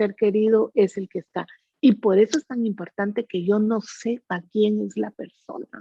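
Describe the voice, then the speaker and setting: A woman's fairly high pitch, an ordinary speaking voice, at a fairly slow pace. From Guatemala. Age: 60s. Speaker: psychic medium. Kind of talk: interview.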